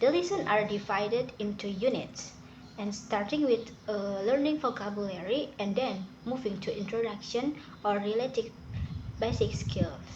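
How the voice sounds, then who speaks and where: Speaking at a moderate pace in an Indonesian accent, a woman uses a fairly high pitch with ordinary variation, and the room echo is audible. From Indonesia (Sundanese). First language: Sundanese. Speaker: student. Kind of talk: class presentation / tutorial. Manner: halting.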